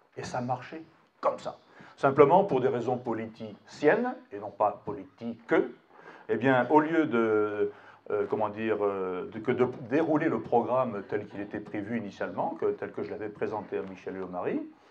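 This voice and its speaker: A medium-pitched man at a moderate pace with lively intonation. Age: 60s. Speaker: retired general, political speaker. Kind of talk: public speech at a town meeting. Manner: halting, with many repeated words and fillers.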